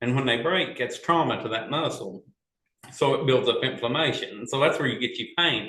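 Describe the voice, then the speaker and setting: Using an ordinary speaking voice, the man talks at medium pitch and a moderate speed, his pitch varying in an ordinary way. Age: 50s. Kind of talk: casual chat.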